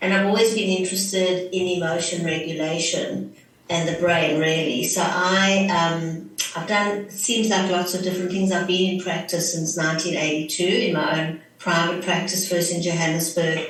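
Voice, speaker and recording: A woman with a South African accent speaks at a fairly low pitch and a moderate pace, her intonation fairly even. Audible room echo and noticeable background noise surround her. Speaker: clinical psychologist. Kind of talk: interview.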